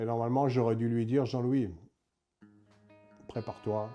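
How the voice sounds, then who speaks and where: The dark, mellow tone moves along at a fairly quick pace. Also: man. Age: 60s. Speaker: former prisoner. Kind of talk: testimony. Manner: halting, many hesitations.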